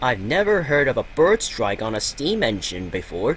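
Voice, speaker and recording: Over clear background noise, a man does a put-on character voice at medium pitch with very wide pitch swings. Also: moderate pace. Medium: read story.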